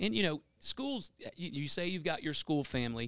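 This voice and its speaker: Spoken with a Louisiana accent, the voice sits dry and close with no echo in a very clean recording over a silent background. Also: man. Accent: Louisiana Southern US. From northwest Louisiana (Bossier Parish). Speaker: assistant principal. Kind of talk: interview.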